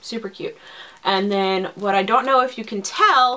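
This woman talks at a moderate pace. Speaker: cross-stitch video blogger. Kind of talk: casual haul video talk. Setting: home video recording. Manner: hesitant with frequent fillers.

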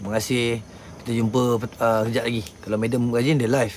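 Talking at a very fast pace, a man keeps a medium pitch and fairly even intonation. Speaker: paranormal live streamer. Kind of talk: casual live stream chat. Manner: loud; blunt, rough-spoken.

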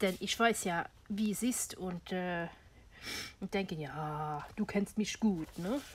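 Somewhat breathy, a woman speaks at a very slow pace with long, frequent pauses and ordinary pitch variation over light background noise. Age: old. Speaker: crafting YouTuber. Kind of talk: tutorial; casual tutorial chat. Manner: casual with frequent fillers. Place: home room. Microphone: phone near.

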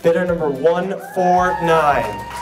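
A man talks at a high pitch and a fairly slow pace with fairly even intonation. Noticeable background noise runs behind him. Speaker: charity auctioneer. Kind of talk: charity auction bid calling. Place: hall. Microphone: handheld.

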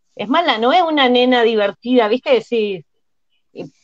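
Over a quiet background, the speaker talks at a moderate pace in an Argentine accent. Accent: Argentine Spanish (Rioplatense). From Argentina. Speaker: TV panelist. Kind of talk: casual chat. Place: home room. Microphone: earbuds.

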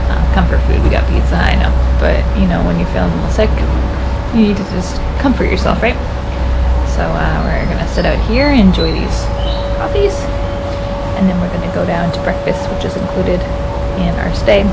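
A woman talks at a fairly quick pace with music in the background. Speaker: travel vlogger. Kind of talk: casual vlog chat. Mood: relaxed, cheerful morning. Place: home room. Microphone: phone near.

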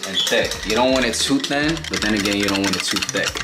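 Over loud background noise, a man speaks at a very fast pace. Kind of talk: tutorial. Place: kitchen. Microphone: camera far.

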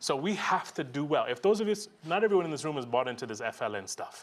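A man's fairly high-pitched voice at a very fast pace, with very wide pitch swings. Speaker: education program funder; conference presenter. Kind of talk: conference talk. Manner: animated. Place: hall.

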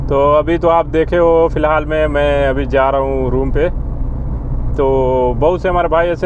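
Amid noticeable background noise, a man talks at a moderate pace in a dry sound with no echo. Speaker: vlogger working abroad. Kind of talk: casual vlog chat. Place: car. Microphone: lapel.

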